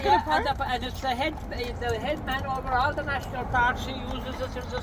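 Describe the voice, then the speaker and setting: A man with a Kerry accent talks at a moderate pace over noticeable background noise. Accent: Irish, Kerry. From Ireland. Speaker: horse and cart driver, storyteller. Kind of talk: casual storytelling conversation. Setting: outdoors.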